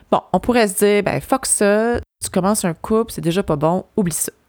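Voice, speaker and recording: On a very clean recording with a silent background, a woman's medium-pitched voice comes through dry and close with no echo. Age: 40s. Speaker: podcast host. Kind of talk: personal monologue. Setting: cottage. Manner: animated.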